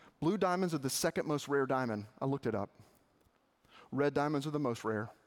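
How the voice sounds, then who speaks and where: A man with a Southern US accent speaks with lively intonation. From Arkansas. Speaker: campus minister. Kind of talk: sermon.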